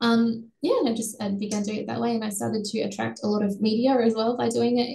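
An Australian accent from a woman, her intonation fairly level. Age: 20s. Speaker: bereaved partner and blood donor. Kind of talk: interview testimony.

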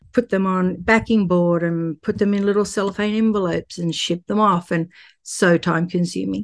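With an Australian accent, a woman speaks at a moderate pace and with fairly even intonation against a quiet background. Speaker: artist and real estate investor. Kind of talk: casual interview chat.

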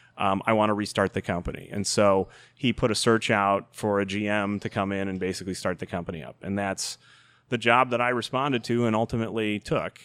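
A man with an American accent uses a normal speaking voice at a fairly low pitch and fairly quick pace, with fairly even intonation, in a very clean recording with a silent background. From Chicago South Side suburbs. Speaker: video game company CEO. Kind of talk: podcast interview.

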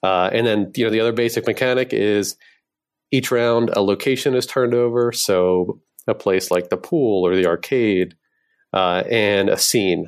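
A man with an American accent talks in a plain, everyday voice at a medium pitch and moderate pace, with ordinary pitch variation. The recording is very clean, with a silent background. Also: very even loudness. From US Northeast, Philadelphia. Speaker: game designer. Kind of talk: interview.

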